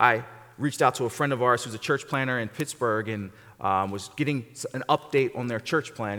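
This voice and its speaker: Animated in tone, a man speaks at a fairly quick pace with a medium pitch and ordinary pitch variation. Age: 40s. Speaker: guest pastor. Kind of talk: sermon. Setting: church.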